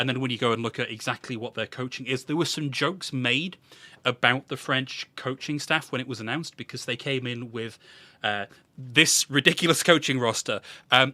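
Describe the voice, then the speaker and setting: In a British accent, a man speaks with a bright, sharp tone on a very clean recording with a silent background and a dry, close sound with no echo. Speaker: esports podcast host. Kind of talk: casual esports recap discussion.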